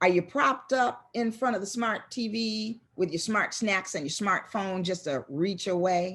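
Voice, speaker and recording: A woman speaks in an animated tone against a quiet background. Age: 60s. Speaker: motivational speaker. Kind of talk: motivational talk.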